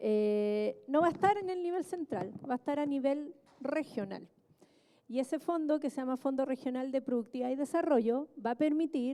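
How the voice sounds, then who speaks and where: A woman's high, lively voice at a moderate pace over noticeable background noise. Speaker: government official, economist. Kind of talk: panel talk. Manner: soft-spoken; halting with fillers. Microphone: quiet, asks for volume up.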